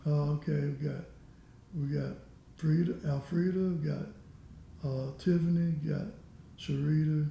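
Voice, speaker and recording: There is audible room echo as a man with an American accent speaks at a fairly slow pace, leaving long, frequent pauses. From US South, Alabama. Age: 70s. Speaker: retired steelworker. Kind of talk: interview.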